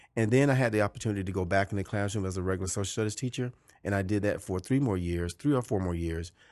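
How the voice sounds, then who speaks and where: Over a quiet background, a man with a Georgia accent talks at a very fast pace, fairly low in pitch with ordinary pitch variation. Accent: Southern American (Georgia). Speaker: high school principal. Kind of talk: interview conversation. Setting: principal's office.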